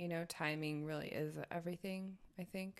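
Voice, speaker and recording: A woman with an American accent speaks in an ordinary speaking voice at a moderate pace. Her pitch is fairly low, and her intonation is fairly even. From Oregon, US (farming community, high desert). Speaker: host's partner. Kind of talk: casual chat.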